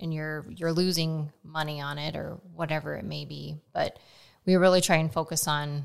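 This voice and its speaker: A woman's very deep, low voice in a Midwestern American accent, monotone and flat, at a moderate pace. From Nebraska. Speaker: farmer. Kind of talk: casual chat. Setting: on location. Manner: talkative.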